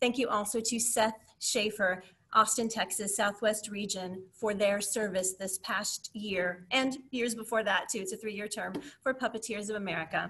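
A woman's bright, sharp tone with fairly even intonation at a moderate pace. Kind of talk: meeting presentation. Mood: grateful, warm. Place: home room. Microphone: webcam.

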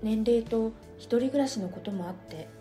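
A woman's calm, soothing tone at a fairly slow pace, with music in the background. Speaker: essay reader / narrator. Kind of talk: essay reading, relaxing bedtime story. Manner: soft, calm, soothing.

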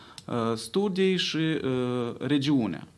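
A man talks, his intonation lively. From Moldova. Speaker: pollster. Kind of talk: press conference. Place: hall. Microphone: podium.

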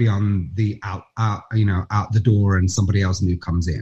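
A man speaks in a somewhat breathy voice against a quiet background. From Nottingham, England; England. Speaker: actor; interview guest, actor. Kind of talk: interview answer. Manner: animated storytelling. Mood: animated, amused storytelling. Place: home room. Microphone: video call.

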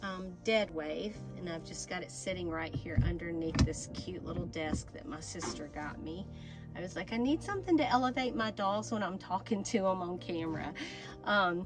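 A woman speaks at a moderate pace with big swings in loudness. Clear music plays in the background. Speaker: doll channel host. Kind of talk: casual vlog chat. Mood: warm, playful. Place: home room. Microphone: phone near.

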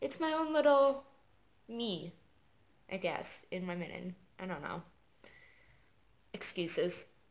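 A woman's medium-pitched voice at a fairly slow pace, with very wide pitch swings and long, frequent pauses. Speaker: knitting video podcaster. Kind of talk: casual chat. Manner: hesitant, many fillers.

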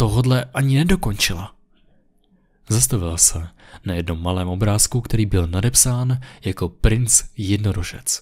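A man's somewhat breathy, dark, mellow tone at a fairly slow pace against a quiet background. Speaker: creepypasta narrator. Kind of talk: scripted ghost story narration, first-person creepy tale. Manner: hushed, slow, suspenseful, ominous. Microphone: studio mic.

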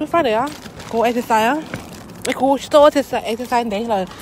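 With noticeable background noise around her, a woman speaks in a lively, varied intonation. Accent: Southeast Asian. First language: Hmong (speaking Korean). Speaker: vlogger. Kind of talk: casual vlog. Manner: halting.

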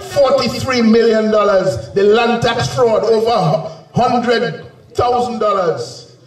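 A man's high-pitched voice at a very slow pace, with ordinary pitch variation and audible room echo. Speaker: speaker. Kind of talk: campaign rally speech. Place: stage.

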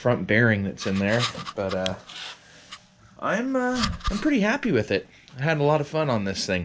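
Noticeable background noise is present throughout. A man talks over it at a moderate tempo. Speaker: hobby vlogger. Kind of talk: casual vlog chat. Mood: pleased, relaxed. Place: garage. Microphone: phone near.

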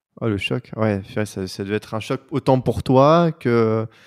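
Very slow speech sits over a quiet background. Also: man. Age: 30s. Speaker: podcast host. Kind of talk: casual interview. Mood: warm, attentive. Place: home room. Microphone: handheld.

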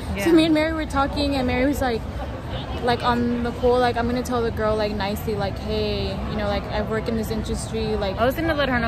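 Over crowd noise in the background, a woman talks at a very fast pace in a dry sound with no echo. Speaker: vlogger. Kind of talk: casual vlog chat. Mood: annoyed, storytelling. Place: street. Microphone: phone near.

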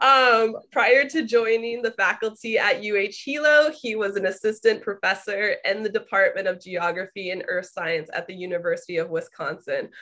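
At a moderate pace, the speaker uses ordinary pitch variation and hardly any pauses. The background is quiet. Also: woman. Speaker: webinar host introducing guests. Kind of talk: speaker introduction. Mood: warm, friendly.

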